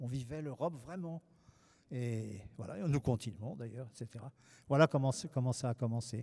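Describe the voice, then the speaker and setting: A man's medium-pitched, somewhat breathy voice at a moderate pace, with ordinary pitch variation and big swings in loudness. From France. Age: 70s. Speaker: painter. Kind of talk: public interview.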